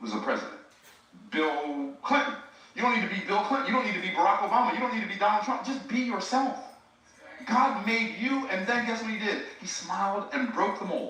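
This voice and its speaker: In a raised, projected voice with a high pitch, a man speaks at a fairly quick pace with ordinary pitch variation, amid audible room echo and noticeable background noise. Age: 60s. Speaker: speaker and preacher. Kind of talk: motivational talk. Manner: animated.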